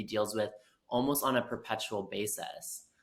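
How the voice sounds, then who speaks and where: Here a man speaks with fairly even intonation. His tone is bright and sharp. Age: 20s. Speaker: podcast co-host. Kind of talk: podcast interview.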